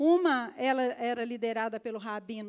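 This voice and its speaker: This woman speaks at a fairly slow pace. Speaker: pastor. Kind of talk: sermon. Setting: church service with congregation.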